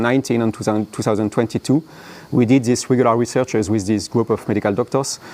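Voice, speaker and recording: A man speaks in a strong French accent at medium pitch. His intonation stays fairly even. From France. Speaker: app founder and conference speaker. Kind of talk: conference talk. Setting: conference room with live audience. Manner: halting, many fillers.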